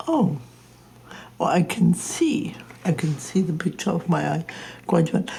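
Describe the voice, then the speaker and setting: A woman speaks with long, frequent pauses. Noticeable background noise runs behind her. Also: fairly slow pace. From Germany. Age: 80s+. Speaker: interior designer. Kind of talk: documentary, casual speech.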